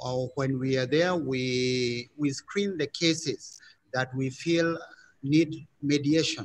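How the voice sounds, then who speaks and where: A man talks at a very slow pace. His pitch varies in an ordinary way. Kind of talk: self-introduction in online panel. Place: hall. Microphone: video call.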